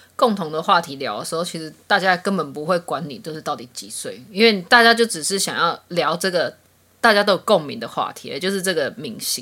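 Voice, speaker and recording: The voice has a bright, sharp tone and lively intonation. It moves at a fairly quick pace with big swings in loudness. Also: woman, medium pitch for a woman. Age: 30s. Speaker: podcast co-host. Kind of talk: casual chat.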